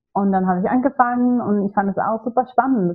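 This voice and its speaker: Speaking with a Swedish accent, a woman talks at a moderate pace with ordinary pitch variation. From Sweden. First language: Swedish (speaking German). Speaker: ayurveda practitioner. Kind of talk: podcast interview.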